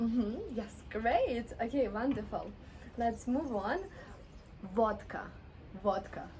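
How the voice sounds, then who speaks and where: The speaker goes at a very slow pace, with long, frequent pauses and ordinary pitch variation. Room echo is audible. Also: woman, fairly high pitch for a woman. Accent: Russian. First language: Russian. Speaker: Russian language teacher. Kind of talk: language lesson. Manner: slow, repeating words.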